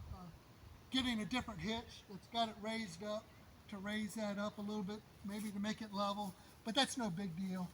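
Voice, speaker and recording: A man's high-pitched voice moves at a moderate pace against noticeable background noise. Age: 60s. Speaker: DIY builder and YouTuber. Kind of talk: casual video update. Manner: halting, many fillers.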